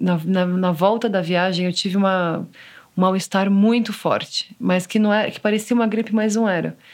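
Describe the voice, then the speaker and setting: The recording is very clean, its background silent. An unremarkable speaking voice talks at a moderate pace, its intonation fairly even. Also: woman. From Brazil, São Paulo. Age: 30s. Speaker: photographer and mother. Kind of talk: personal testimony interview.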